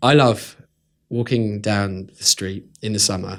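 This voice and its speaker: A man's fairly low voice with a British accent, at a moderate pace, in a very clean recording with a silent background. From UK. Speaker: blogger. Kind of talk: interview.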